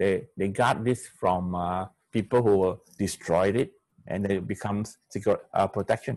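Against a quiet background, a man with a fairly low pitch speaks at a fairly slow pace. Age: 60s. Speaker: pediatrician and spiritual formation teacher. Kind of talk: seminar lecture. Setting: video call. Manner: halting. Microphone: video call.

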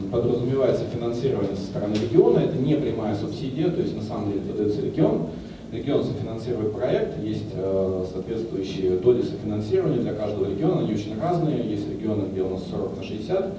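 Over noticeable background noise and audible room echo, a man talks at a very fast pace in a fairly low pitch. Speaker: presenter. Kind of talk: lecture. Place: hall. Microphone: handheld.

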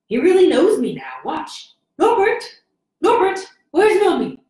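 With a slight echo, a put-on character voice at an extremely high pitch speaks at a moderate pace. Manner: doting, misty-eyed, affectionate.

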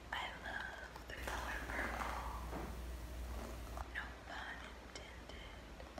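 A woman speaks at a very slow pace. Her words are broken by long, frequent pauses. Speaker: ASMR creator. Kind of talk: ASMR session. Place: home room. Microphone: phone near.

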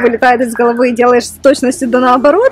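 Over faint music in the background, a woman speaks at a fairly quick pace with a dry sound and no echo. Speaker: vlogger. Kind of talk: casual vlog chat. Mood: cheerful, slightly nervous. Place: forest. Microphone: phone near.

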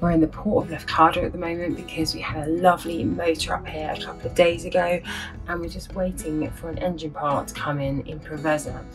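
A woman speaks at a fairly quick pace with big swings in loudness. Clear music plays in the background. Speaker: sailing vlogger. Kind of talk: casual vlog chat. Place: boat. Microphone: phone near.

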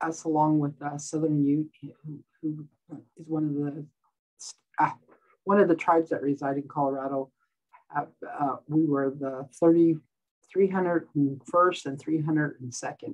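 Over a quiet background, a woman speaks in a very deep, low pitch at a very slow pace. Her intonation is monotone and flat, with long, frequent pauses. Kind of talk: interview answer. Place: office. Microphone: webcam.

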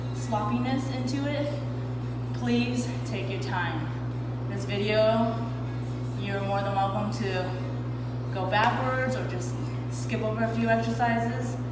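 Through loud background noise and audible room echo, a woman speaks at a fairly slow pace with long, frequent pauses. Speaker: fitness instructor. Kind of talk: workout tutorial instructions and counting. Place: gym. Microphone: camera far.

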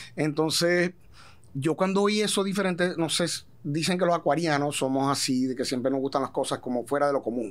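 A fairly high-pitched man at a fairly quick pace, with ordinary pitch variation and very even loudness. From Venezuela. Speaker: singer, gaita musician. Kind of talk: casual interview chat. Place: studio. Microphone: studio mic.

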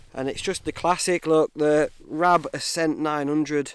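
The background is quiet as a man talks. His voice sounds dry, free of echo. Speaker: outdoor camping vlogger. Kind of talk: casual vlog chat. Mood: relaxed, self-joking. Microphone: phone near.

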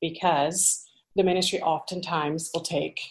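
A woman's fairly low voice, monotone and flat, at a fairly slow pace. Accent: American. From US Midwest, central Illinois. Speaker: pastor's wife. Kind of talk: interview conversation.

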